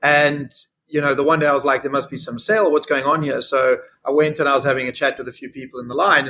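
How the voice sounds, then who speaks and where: With a South African accent, a man talks at a very fast pace in a fairly high, bright, sharp tone and fairly even intonation. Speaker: fintech CEO. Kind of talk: interview.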